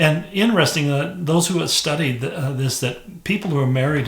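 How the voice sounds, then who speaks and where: Moderate-paced speech from a man with ordinary pitch variation, noticeable background noise and audible room echo. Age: 70s. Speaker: pastor. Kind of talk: devotional talk. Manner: conversational, with fillers and restarts.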